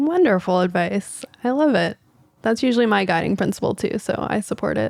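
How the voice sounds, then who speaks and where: A plain, everyday voice with an American accent speaks at a moderate pace. The sound is dry and close with no echo. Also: woman. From Texas. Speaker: podcast host, physician. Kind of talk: casual podcast chat.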